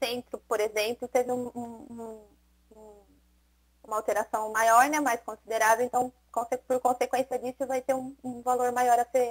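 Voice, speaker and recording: In a dry, close sound with no echo, a woman with a high voice speaks at a moderate pace in a monotone, flat intonation, with big swings in loudness and long, frequent pauses. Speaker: municipal tax department official. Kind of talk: public hearing explanation. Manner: halting, many repetitions.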